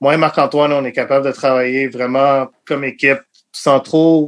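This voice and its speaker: Fairly even intonation and a moderate pace from a man. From Montreal, Quebec (anglophone west end, Côte-Saint-Luc). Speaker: sports journalist and editor. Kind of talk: casual interview.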